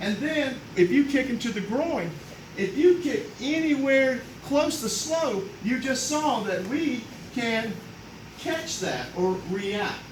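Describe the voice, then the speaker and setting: Loud and extremely high-pitched, a man speaks at a very slow pace with lively intonation, with audible room echo and noticeable background noise. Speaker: karate master instructor. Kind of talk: demonstration.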